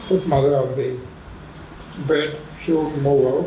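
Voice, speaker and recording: A man amid audible room echo and noticeable background noise. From India, raised in Pondicherry. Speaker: retired professor. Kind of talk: interview reminiscence.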